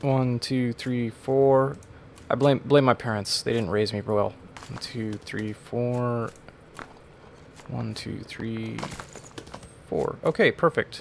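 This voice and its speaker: Through noticeable background noise, the speech moves at a very slow pace with long, frequent pauses. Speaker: gaming YouTuber. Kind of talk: let's play commentary. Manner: mumbling; humming to self.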